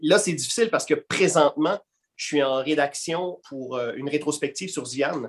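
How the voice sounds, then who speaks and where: This man has an ordinary speaking voice with a fairly high pitch. He speaks at a moderate pace with ordinary pitch variation. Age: 40s. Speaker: comic book columnist and actor. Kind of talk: casual interview.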